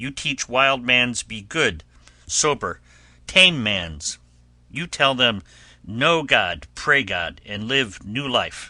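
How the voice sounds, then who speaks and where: In a raspy, put-on character voice at a medium pitch, a man speaks very slowly with very wide pitch swings against a quiet background. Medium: read story. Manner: broken English, earnest.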